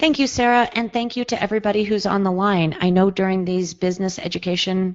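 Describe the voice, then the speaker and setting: Speaking at medium pitch, a woman shows ordinary pitch variation. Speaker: psychologist and webinar presenter. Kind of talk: webinar presentation. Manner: fast.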